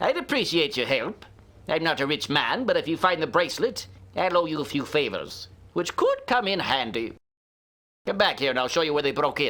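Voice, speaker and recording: This man puts on a gruff character voice, pitched high for a man. He moves at a fairly quick pace with lively intonation. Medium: video game. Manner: gruff, blunt.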